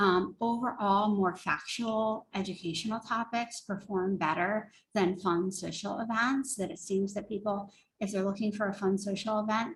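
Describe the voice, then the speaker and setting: The voice is somewhat breathy and moves at a moderate pace with fairly even intonation. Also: woman, medium pitch for a woman. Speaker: marketing consultant. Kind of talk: webinar presentation.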